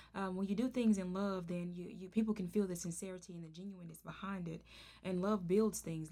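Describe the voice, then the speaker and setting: A woman with a Southern US accent, medium pitch and fairly even intonation at a moderate pace, with big swings in loudness. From Arkansas. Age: 30s. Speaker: podcast host. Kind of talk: casual interview.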